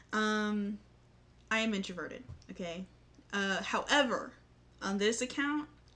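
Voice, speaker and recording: Delivered at a fairly slow pace with long, frequent pauses, the voice has an animated, bright, sharp tone and ordinary pitch variation. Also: woman, fairly high pitch for a woman. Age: 20s. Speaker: vlogger. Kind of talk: casual chat. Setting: home, in front of display.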